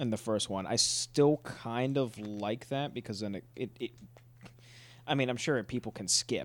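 A plain, everyday voice, a man's, at a fairly slow pace in a very clean recording with a silent background. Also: medium pitch for a man, ordinary pitch variation. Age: 20s. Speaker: podcast host. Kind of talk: casual chat.

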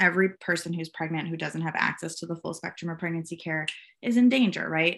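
Against a quiet background, a woman with a Minnesotan accent talks at a fairly quick pace in a fairly low pitch with a bright, sharp tone. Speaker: gender justice advocate. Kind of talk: interview.

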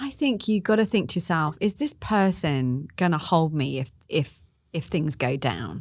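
A woman with a plain, everyday voice speaks at a fairly low pitch and a fairly slow pace in a very clean recording with a silent background. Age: 40s. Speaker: life coach. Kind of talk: casual interview chat.

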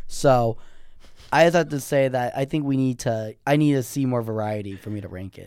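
A man speaks in a plain, everyday voice at a moderate pace and medium pitch. His pitch varies in an ordinary way, and his loudness swings widely. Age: young. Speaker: college student guest. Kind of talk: casual chat.

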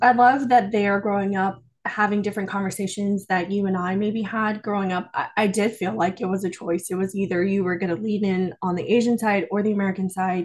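A fairly quick, somewhat breathy delivery with fairly even intonation and hardly any pauses. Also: woman, medium pitch for a woman. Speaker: podcast co-host. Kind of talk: casual interview chat.

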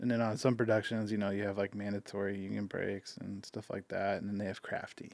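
A man with a fairly low pitch talks at a very fast pace, with hardly any pauses. His intonation is monotone and flat. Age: 30s. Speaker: videographer and business owner. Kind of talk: casual chat.

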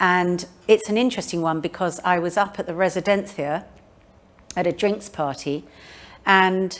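A medium-pitched woman's voice with a southern English accent. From London, England. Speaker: author. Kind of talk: public talk and interview. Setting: museum event with live audience.

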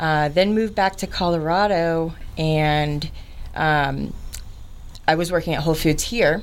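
Over audible room echo, a woman with an American accent speaks at a fairly slow pace and fairly low pitch, her intonation fairly even and her pauses long and frequent. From Florida (Orlando). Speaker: cleaning business owner. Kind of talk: interview. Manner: halting, many fillers.

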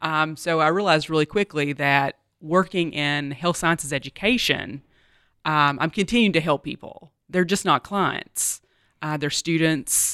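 A woman with an American accent and a very deep, low voice at a fairly slow pace, on a very clean recording with a silent background and a dry, close sound with no echo. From US South. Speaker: university vice president. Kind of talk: interview.

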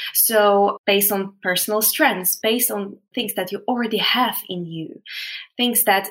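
A woman speaks with a Polish accent. Her pitch is medium. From Poland. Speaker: veterinarian and positive psychology specialist. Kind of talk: casual interview.

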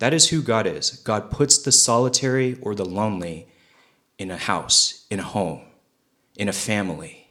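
Loud and bright with a sharp tone, a man speaks at a medium pitch. His pace is moderate and his intonation lively. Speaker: pastor. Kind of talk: sermon. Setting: church.

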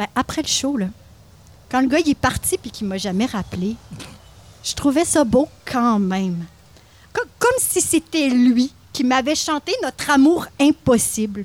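A woman with a high voice talks at a fairly slow pace with lively intonation and long, frequent pauses, in a dry, close sound with no echo. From Quebec, Mauricie (Louiseville near Trois-Rivières). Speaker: podcast co-host. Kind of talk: scripted narration; casual chat. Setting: live recording at a market.

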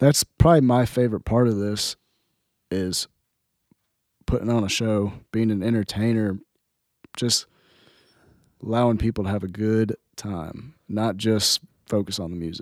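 The speaker has an American accent, a moderate pace and fairly even intonation, with long, frequent pauses. The sound is dry and close with no echo, on a very clean recording with a silent background. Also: man, fairly low pitch for a man. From Southern Indiana. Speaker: country singer-songwriter. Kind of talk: casual interview chat.

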